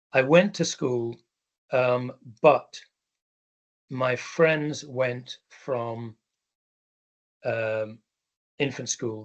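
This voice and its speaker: A man with an English accent speaks very slowly at medium pitch. His intonation is fairly even, and he makes long, frequent pauses. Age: 60s. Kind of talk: talk. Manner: hesitant, many ums.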